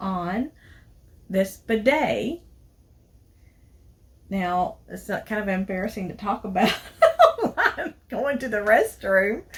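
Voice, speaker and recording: In a Southern US accent, a woman talks at a very slow pace with ordinary pitch variation. Her voice is somewhat breathy, and long, frequent pauses break up her speech. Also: medium pitch for a woman. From Tennessee. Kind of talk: casual product review to camera.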